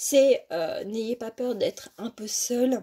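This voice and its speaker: A woman's dark, mellow tone at a very slow pace, with ordinary pitch variation. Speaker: tarot card reader. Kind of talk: tarot reading. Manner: halting, many hesitations.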